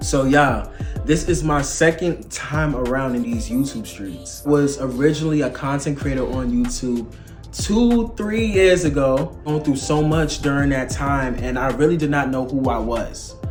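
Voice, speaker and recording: With music in the background and audible room echo, a man talks at a moderate pace. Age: 20s. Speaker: motivational speaker. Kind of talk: casual faith vlog talk. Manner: animated.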